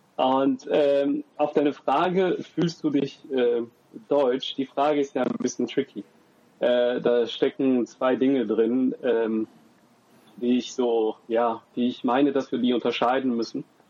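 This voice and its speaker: Very slowly and at very even loudness, a man with a dark, mellow tone speaks with fairly even intonation, the sound dry and close with no echo. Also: medium pitch for a man. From Germany. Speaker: university student and father. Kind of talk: podcast interview.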